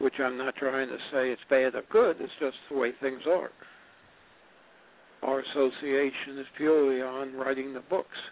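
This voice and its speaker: A man with an unremarkable speaking voice, medium in pitch, at a moderate pace and with fairly even intonation. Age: 60s. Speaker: retired engineer and author. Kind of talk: interview. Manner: conversational.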